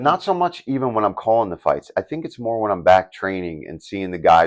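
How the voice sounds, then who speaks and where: A man's fairly low voice at a fairly quick pace, with very wide pitch swings and big swings in loudness. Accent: Philadelphia. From Philadelphia, USA. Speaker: UFC commentator and former fighter. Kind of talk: interview answer. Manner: casual, conversational.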